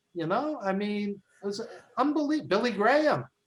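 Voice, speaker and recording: The man talks at a moderate pace. His intonation is lively. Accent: Brooklyn. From New York, Brooklyn. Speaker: wrestling film producer, author and podcaster. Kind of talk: interview. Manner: halting, many fillers.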